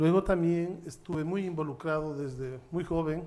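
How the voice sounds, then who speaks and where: With a normal speaking voice, a man talks at a moderate pace, his fairly high pitch carried by fairly even intonation. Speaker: judge and human rights lawyer. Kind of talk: panel talk at a seminar.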